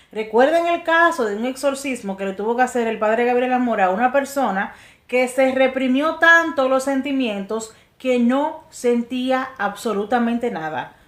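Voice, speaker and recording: At a fairly slow pace, a woman speaks with a high pitch and ordinary pitch variation. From Latin America. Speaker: religious teacher. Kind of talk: religious talk.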